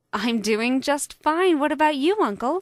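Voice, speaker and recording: A woman's high-pitched, put-on character voice with lively intonation at a moderate pace. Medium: read story. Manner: polite, gracious.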